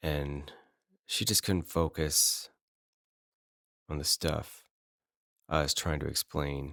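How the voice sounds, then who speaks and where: Very deep and low, a man's voice has a bright, sharp tone and an American accent. He speaks very slowly with long, frequent pauses, in a dry, close sound with no echo. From northern US. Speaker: podcast host. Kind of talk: personal storytelling. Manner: conversational with fillers.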